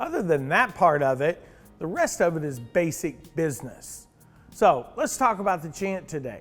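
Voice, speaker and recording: A high-pitched male voice over music in the background. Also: lively intonation, moderate pace. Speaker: auctioneer. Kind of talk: casual talk to camera.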